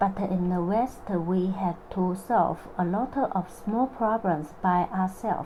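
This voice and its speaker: Over noticeable background noise, a woman with a Chinese accent talks at a very slow pace with ordinary pitch variation. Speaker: vlogger telling personal story. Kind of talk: personal narration. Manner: halting non-native phrasing.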